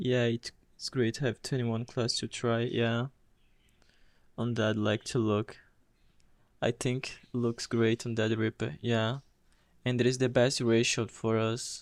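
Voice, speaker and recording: A man with a Portuguese accent, medium pitch, monotone and flat, with long, frequent pauses, in a dry, close sound with no echo. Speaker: game streamer. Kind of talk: live gameplay commentary. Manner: halting.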